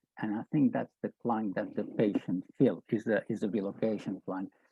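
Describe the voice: A man talks with vocal fry and a slightly husky edge, his pitch fairly low and his tone dark and mellow. Intonation is fairly even, and the sound is dry and close with no echo.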